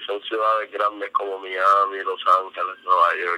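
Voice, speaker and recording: The speaker is a man. He talks at a moderate pace. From Puerto Rico, Carolina. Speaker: rapper. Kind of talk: casual interview.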